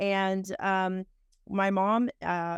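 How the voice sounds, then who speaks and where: A woman with a Texan accent speaks at a medium pitch. The recording is very clean, with a silent background and a dry, close sound with no echo. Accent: Texan twang. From Texas (Houston area). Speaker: entrepreneur and interviewer. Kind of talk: interview conversation.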